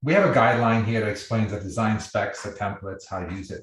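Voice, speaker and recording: There is a somewhat breathy quality to this man's speech. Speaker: software company founder giving product demo. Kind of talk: live webinar tutorial. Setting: video call. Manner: fast.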